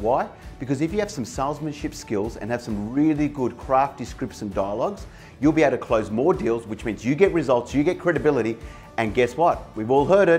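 At a fairly quick pace a man talks while faint music sits in the background. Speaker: sales coach. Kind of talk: motivational talk to camera. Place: office. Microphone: lapel.

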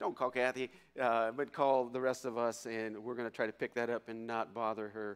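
Against a quiet background, a man speaks at a fairly quick pace with monotone, flat intonation. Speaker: pastor giving announcements. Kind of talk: church announcements. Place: church. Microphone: podium.

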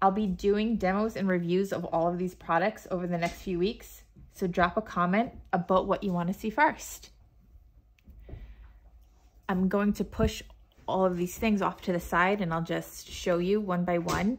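Intonation stays fairly even throughout. Long pauses come often. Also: woman, moderate pace. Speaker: art hobbyist vlogger. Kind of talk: casual haul vlog chat.

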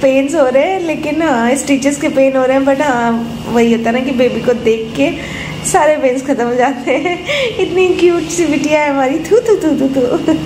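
A soft-spoken woman with a high pitch and ordinary pitch variation, at a fairly slow pace, against noticeable background noise. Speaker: new mother vlogger. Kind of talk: casual vlog chat. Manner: drowsy, soft post-surgery voice. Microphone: phone near.

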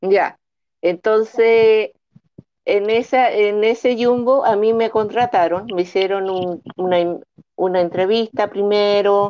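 Against a quiet background, a woman at medium pitch speaks at a very slow pace with fairly even intonation. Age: 40s. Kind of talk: testimony. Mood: earnest, encouraging. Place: home room. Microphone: video call.

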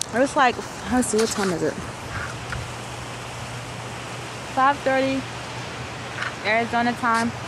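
Dry, echo-free audio of a woman with ordinary pitch variation amid noticeable background noise. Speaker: vlogger on a work trip. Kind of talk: casual vlog chat. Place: street. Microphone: phone near.

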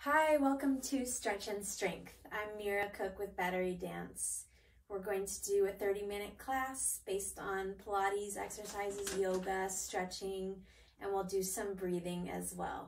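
A woman talks at a fairly slow pace with ordinary pitch variation. Light background noise is present. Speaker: exercise instructor. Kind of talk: tutorial. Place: home room. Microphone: camera far.

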